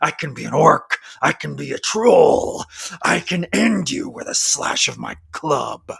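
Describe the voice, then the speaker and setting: A man puts on a character voice that is growling and raspy. He speaks at a fairly slow pace. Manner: menacing.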